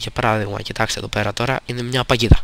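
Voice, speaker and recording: A man is speaking. He goes at a very fast pace. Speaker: gaming youtuber. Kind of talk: game review with gameplay commentary. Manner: hesitant, frequent fillers.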